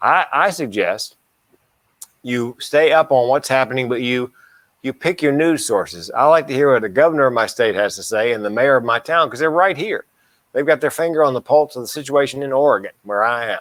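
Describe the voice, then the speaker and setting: A man's fairly high voice at a fairly quick pace, a normal speaking voice with ordinary pitch variation and a dry, close sound with no echo. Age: 60s. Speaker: comedian and mental health speaker. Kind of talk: casual chat.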